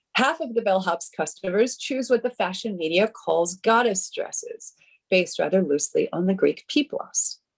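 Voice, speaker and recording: Somewhat breathy and fairly high-pitched, a woman speaks at a moderate pace with lively intonation. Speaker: conference panelist, art historian. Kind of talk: reading a conference paper. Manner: formal.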